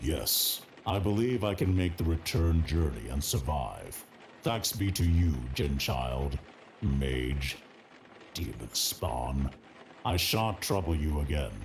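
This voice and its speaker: Using a put-on character voice with a very deep, low pitch, a man talks at a fairly slow pace with long, frequent pauses over clear background noise. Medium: video game. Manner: archaic, formal, menacing.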